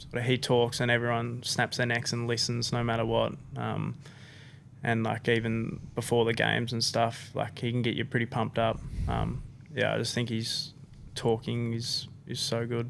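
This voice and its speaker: A man with an Australian accent, medium pitch, monotone, flat intonation and a moderate pace. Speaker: professional footballer. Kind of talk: podcast interview.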